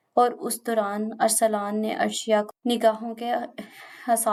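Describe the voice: Text is read aloud plainly.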